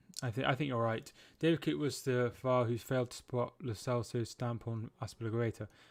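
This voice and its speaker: A man's medium-pitched voice with a West Midlands accent, ordinary pitch variation and a moderate pace. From Shropshire, English West Midlands. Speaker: football streamer. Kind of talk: live watchalong chat with viewers. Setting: live stream. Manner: halting.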